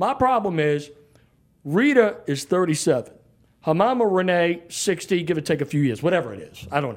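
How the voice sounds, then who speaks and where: This man has a strong New Orleans accent and a high pitch, with very wide pitch swings and big swings in loudness. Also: fairly quick pace. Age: 50s. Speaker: sports radio personality. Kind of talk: casual interview. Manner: brash and outspoken.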